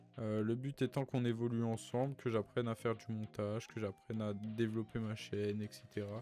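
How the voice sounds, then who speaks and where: Music plays behind a man speaking at a moderate pace. His pitch is medium and his intonation fairly even. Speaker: YouTuber and gamer. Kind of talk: casual chat. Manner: stammering, halting.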